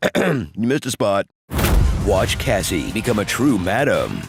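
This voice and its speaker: A man speaks with music playing in the background. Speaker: voice actor, trailer narrator. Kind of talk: movie trailer, comedic satirical narration. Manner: sarcastic, snarky, witty.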